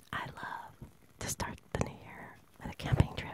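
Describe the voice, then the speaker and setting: A soft-spoken whisper, dry with no echo, sits over loud background noise. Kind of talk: casual reflective chat. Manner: soft ASMR whisper, close and intimate. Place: home room. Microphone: phone near.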